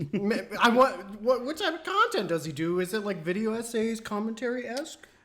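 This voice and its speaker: Lively intonation marks this man's high-pitched voice at a fairly quick pace. Background noise is noticeable. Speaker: podcast co-host. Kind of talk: casual chat.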